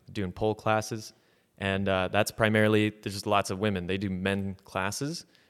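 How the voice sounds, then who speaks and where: A man talks at a moderate pace in a fairly low pitch, a normal speaking voice. The recording is very clean, with a silent background. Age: 20s. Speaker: comedian. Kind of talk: casual chat.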